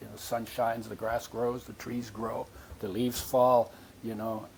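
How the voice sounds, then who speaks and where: Noticeable background noise behind speech at a fairly quick pace. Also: man. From born in Poland to Latvian parents, war refugee. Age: 80s+. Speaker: nutrition expert. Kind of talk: interview. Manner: animated.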